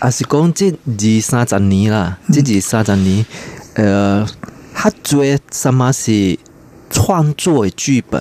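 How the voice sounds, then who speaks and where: A man speaks at a very slow pace with long, frequent pauses, his medium-pitched voice carrying lively intonation at a very even loudness, the sound dry and close with no echo over noticeable background noise. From Malaysia. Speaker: theatre scholar. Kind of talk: radio interview.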